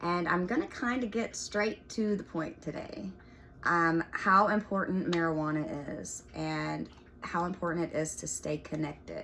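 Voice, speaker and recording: Noticeable background noise sits behind this recording. A woman talks at a fairly slow pace. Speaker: spiritual video host. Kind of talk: casual monologue to camera. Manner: halting, many fillers.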